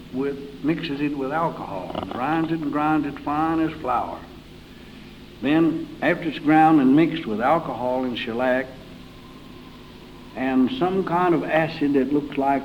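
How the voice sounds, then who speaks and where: With an Appalachian accent, a man talks at a moderate pace in a fairly high pitch with ordinary pitch variation, over noticeable background noise. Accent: Southern Appalachian American. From Carroll County, Virginia, US. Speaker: old-time country musician. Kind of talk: interview answer.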